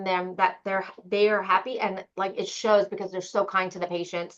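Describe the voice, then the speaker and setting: A woman is speaking. Her pitch is medium. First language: not English. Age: 40s. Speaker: audiologist clinic owner. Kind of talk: interview conversation. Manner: blunt, direct.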